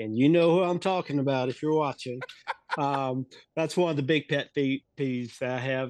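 An ordinary speaking voice with an American accent keeps a moderate pace. Its intonation stays fairly even. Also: man, fairly high pitch for a man. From US South, North Carolina. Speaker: wrestling referee. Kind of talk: interview.

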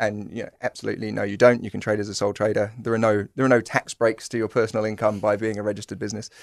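A man with a British accent, fairly low pitch, and monotone, flat intonation, very fast with hardly any pauses, dry and close with no echo against a quiet background. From UK. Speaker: fintech company co-founder. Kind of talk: podcast interview.

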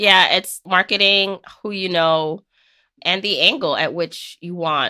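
The recording is very clean, with a silent background and a dry, close sound with no echo. A woman speaks with a bright, sharp tone. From Jamaica. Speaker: personal finance author and podcaster. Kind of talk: casual interview chat.

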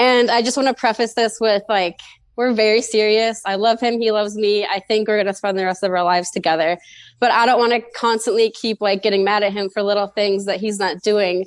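This woman has an unremarkable speaking voice, fairly high in pitch, with fairly even intonation and a fairly quick pace. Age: 20s. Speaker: caller. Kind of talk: advice call.

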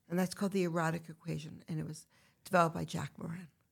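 A woman talks at a very fast pace in a fairly low pitch, with vocal fry running through her voice. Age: 50s. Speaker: retreat founder and women's activist. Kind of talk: casual chat.

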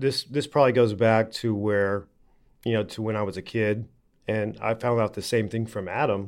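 At a fairly quick pace, a man speaks in an unremarkable speaking voice with fairly low pitch. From Oklahoma. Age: 30s. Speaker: TV presenter and animal handler. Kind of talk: interview.

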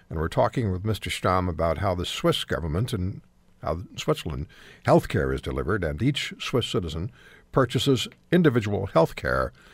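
A man's fairly quick speech with vocal fry and very wide pitch swings, in a very clean recording with a silent background. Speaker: radio talk show host. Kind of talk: radio talk show interview. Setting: radio studio.

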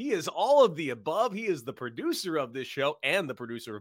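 On a very clean recording with a silent background and a dry, close sound with no echo, a man speaks in a bright, sharp tone with very wide pitch swings. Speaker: sports betting podcast host. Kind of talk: radio dj patter, cocky sports-betting banter. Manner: animated, smartass, self-mocking showman.

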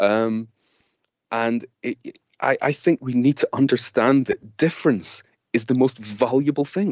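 A man with a Scottish accent, at a fairly slow pace. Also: medium pitch for a man, ordinary pitch variation. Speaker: author and creativity consultant. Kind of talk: interview.

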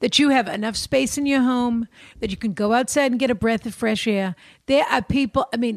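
Talking at a fairly quick pace, a woman with a fairly high pitch and ordinary pitch variation is heard on a very clean recording with a silent background. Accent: Boston. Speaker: advice podcast co-host. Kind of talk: casual chat. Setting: recording studio.

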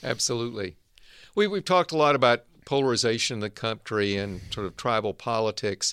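A man with a normal speaking voice and an American accent talks at a fairly quick pace and medium pitch with ordinary pitch variation, in a dry, close sound with no echo on a very clean recording with a silent background. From US South, Arkansas. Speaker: podcast host, medical school dean. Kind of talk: interview conversation; scripted outro.

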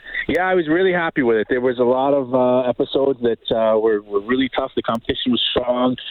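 A man with a New York accent talks at a very fast pace with hardly any pauses, medium pitch, ordinary pitch variation and very even loudness, over noticeable background noise. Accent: New York American. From US, New York City area. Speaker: culinary instructor and chocolate business owner. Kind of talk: casual interview. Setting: phone call.

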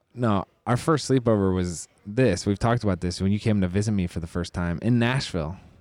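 Quietly and at a fairly quick pace with hardly any pauses, a man speaks at a fairly low pitch with ordinary pitch variation. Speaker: podcast co-host and athlete. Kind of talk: casual chat. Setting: on location at a sports event venue. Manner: normally low and quiet.

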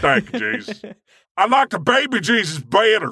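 A man puts on a character voice in a Southern US accent, drawling at a moderate pace. His pitch is high and his intonation lively. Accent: Southern drawl. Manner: mocking, ignorant-sounding drawl.

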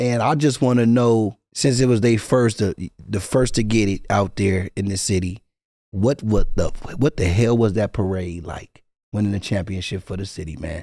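Using a plain, everyday voice, a man talks at a fairly low pitch and moderate pace with ordinary pitch variation. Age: 40s. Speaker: podcast co-host. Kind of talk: casual chat.

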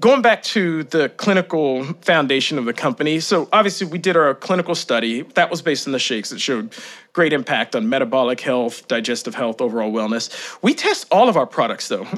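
A man at a fairly quick pace with hardly any pauses and very wide pitch swings. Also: fairly high pitch for a man. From Kentucky, small town. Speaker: company founder and CEO. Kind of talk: interview about gut health.

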